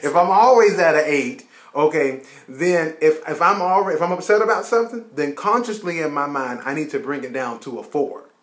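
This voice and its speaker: Fairly high male voice with lively intonation over noticeable background noise. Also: fairly quick pace. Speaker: marriage advice vlogger. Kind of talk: casual advice chat between spouses. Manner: loud.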